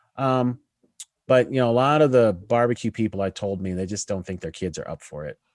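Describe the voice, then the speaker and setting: In a normal speaking voice, a man with an American accent talks at a medium pitch and a fairly quick pace, his intonation lively and his loudness swinging widely. The sound is dry and close with no echo, over a quiet background. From Colorado, US (Denver area). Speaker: food author and historian. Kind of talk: casual interview.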